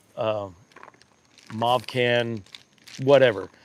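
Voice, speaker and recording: A man talks at a medium pitch with fairly even intonation. Noticeable background noise runs under his voice. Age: 50s. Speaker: e-bike reviewer, livestream host. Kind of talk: casual livestream chat. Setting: live stream.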